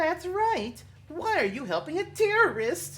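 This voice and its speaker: Over light background noise, a put-on character voice speaks at a moderate pace, high-pitched and squeaky. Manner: put-on, playful.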